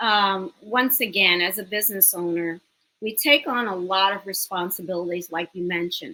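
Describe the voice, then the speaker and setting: In a bright, sharp tone with a slight New York accent, a woman speaks at a medium pitch and a fairly slow pace. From New York City, the Bronx. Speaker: business owner and educator. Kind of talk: interview.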